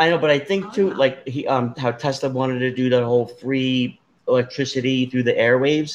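A man's plain, everyday voice in an American accent, medium in pitch, at a fairly quick pace with ordinary pitch variation. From New Jersey. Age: 50s. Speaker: podcast host. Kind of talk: casual chat.

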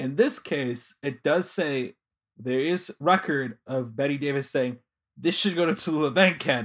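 A man with a Chicago accent and a fairly high pitch speaks at a fairly slow pace in an animated tone. His pitch variation is ordinary, and the recording is very clean with a silent background. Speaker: podcast co-host. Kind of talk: casual podcast chat. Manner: jokey, animated.

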